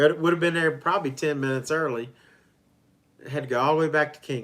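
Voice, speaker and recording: The speaker has an Appalachian accent and talks very fast. The pitch moves in an ordinary way. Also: man, fairly high pitch for a man. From West Virginia and Virginia. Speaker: travel vlogger. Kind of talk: casual chat. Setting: hotel livestream.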